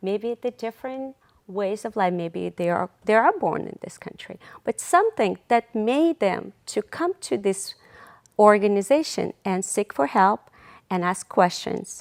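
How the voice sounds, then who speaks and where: A woman with a non-native accent speaks at a fairly slow pace at medium pitch, with lively intonation and big swings in loudness. The recording is very clean, with a silent background and a dry, close sound with no echo. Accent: foreign. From outside the US. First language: not English. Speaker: nonprofit volunteer, social media and PR worker. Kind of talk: TV interview.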